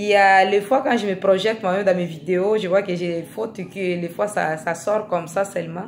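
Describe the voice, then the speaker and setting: A woman talks at a fairly slow pace. Her pitch is medium. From Africa. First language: not French (speaking French). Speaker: vlogger. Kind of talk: video monologue. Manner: hesitant, repeating words.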